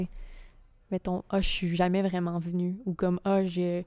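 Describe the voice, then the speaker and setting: On a very clean recording with a silent background and a dry, close sound with no echo, a woman speaks at a medium pitch in a dark, mellow tone. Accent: Quebec. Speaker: podcast co-host. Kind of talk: sponsor read; casual chat.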